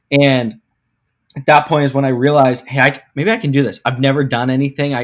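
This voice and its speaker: Here a man with an American accent talks at a fairly quick pace in an unremarkable speaking voice. His pitch is fairly high and moves with ordinary variation. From Pittsburgh, US. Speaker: sports marketing executive. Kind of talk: interview. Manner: filler-heavy, repetitive.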